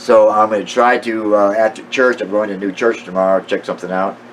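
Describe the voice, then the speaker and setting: Noticeable background noise sits under a man speaking at a fairly quick pace with ordinary pitch variation. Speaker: amateur Bible teacher. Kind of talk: casual monologue. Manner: halting, many fillers.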